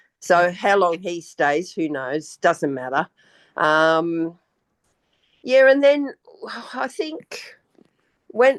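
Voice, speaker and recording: Against a quiet background, a woman with an Australian accent speaks very slowly in a fairly low voice with lively intonation, the sound dry and close with no echo. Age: 70s. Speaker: retired banker, spiritual guest. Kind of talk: casual interview.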